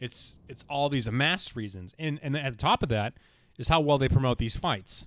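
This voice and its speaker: A man with an American accent speaks at a moderate pace. He has a plain, everyday voice, a medium pitch and ordinary pitch variation. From Boston. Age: 20s. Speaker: TV production freelancer, sports fan. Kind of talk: casual chat.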